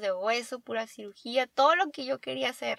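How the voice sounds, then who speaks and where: High-pitched, bright and sharp, a woman's voice at a moderate pace. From Baja California, Mexico. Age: 20s. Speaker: dentist and podcast co-host. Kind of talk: casual chat.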